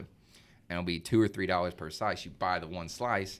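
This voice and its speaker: Very deep, low male voice with an American accent, very fast pace and fairly even intonation. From Arkansas, US South. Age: 20s. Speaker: young professional, son of host. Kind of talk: casual chat. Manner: casual, filler-heavy.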